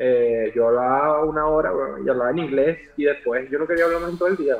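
Over noticeable background noise, a man speaks at a fairly quick pace and fairly high pitch with ordinary pitch variation. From Venezuela (Maracay). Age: 30s. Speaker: digital artist. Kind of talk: casual chat.

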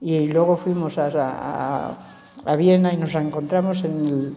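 Speaking at a very slow pace, a woman with a fairly low pitch keeps her intonation fairly even, with noticeable background noise and audible room echo. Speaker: elderly interviewee. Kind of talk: casual interview.

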